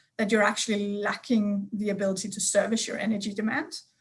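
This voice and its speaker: In a Danish accent, a woman speaks with a fairly high pitch. Her voice is somewhat breathy. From Denmark. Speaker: energy sector expert. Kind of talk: panel discussion.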